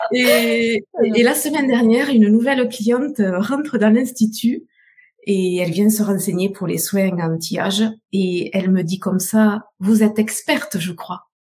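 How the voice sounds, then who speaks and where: A woman's somewhat breathy voice, fairly high in pitch, with ordinary pitch variation and a fairly slow pace. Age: 50s. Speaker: beauty salon owner. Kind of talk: testimony.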